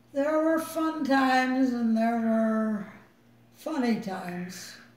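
A woman's high pitch and lively intonation at a very slow pace, with audible room echo. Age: 80s+. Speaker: mother and great-great-grandmother. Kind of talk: interview answer. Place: home room. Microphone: phone near.

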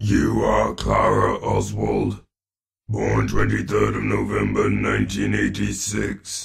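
A man puts on a character voice with a raspy sound. He talks at a very slow pace. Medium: voice reel.

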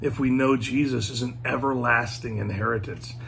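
Light background noise sits under speech delivered at a fairly slow pace. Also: man. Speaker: speaker. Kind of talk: devotional talk. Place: home room. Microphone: phone near.

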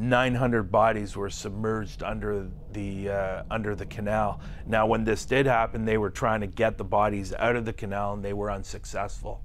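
A man with an ordinary speaking voice talks at a moderate pace, fairly low in pitch, with fairly even intonation. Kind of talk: interview answer. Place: studio.

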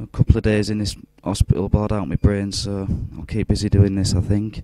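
A man with a fairly low pitch talks at a very fast pace in a dark, mellow tone, his intonation fairly even, with a dry sound, no echo and a quiet background. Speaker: UFO video blogger. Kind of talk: casual video commentary. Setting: hospital room. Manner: keeping voice down.

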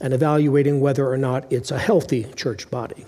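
A man talks at a moderate pace in a dark, mellow tone. The background is quiet. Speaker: pastor. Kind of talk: sermon. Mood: warm, lightly humorous. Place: church. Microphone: headset.

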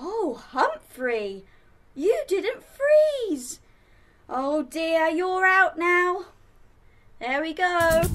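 Over music in the background, a woman with an extremely high pitch speaks very slowly, with very wide pitch swings and long, frequent pauses. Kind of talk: children's show presenting. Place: home room.

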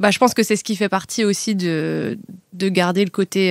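A woman of medium pitch talks at a moderate pace with fairly even intonation, in a very clean, dry, close recording with a silent background and no echo. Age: 20s. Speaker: podcast guest. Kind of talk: casual chat. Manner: halting, many fillers.

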